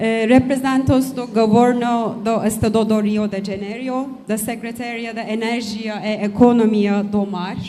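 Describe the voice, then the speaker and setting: With a non-native accent and a fairly high pitch, a woman speaks at a fairly slow pace with monotone, flat intonation and hardly any pauses, in audible room echo. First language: not Portuguese (speaking Portuguese). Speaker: company director. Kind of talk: reading a prepared speech. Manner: halting with hesitations.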